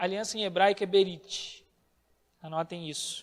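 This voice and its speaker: A man speaks with ordinary pitch variation. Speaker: bible teacher. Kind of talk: bible class lecture.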